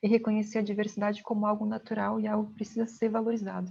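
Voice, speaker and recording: This woman speaks with a dark, mellow tone and a somewhat breathy, fairly high voice, her intonation monotone and flat. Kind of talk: lecture.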